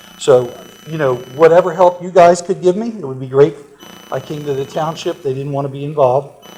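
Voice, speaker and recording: A man with a fairly high pitch talks at a fairly quick pace, with ordinary pitch variation, big swings in loudness and noticeable background noise. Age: 60s. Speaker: property owner at public comment. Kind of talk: public comment at a township meeting. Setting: township board meeting. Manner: halting, with repeated fillers.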